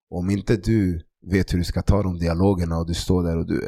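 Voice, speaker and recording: In a very clean recording with a silent background, a man speaks at a moderate pace in a very deep, low pitch, his tone dark and mellow and his intonation monotone and flat. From Stockholm, Sweden (Tensta). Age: 30s. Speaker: sports club founder.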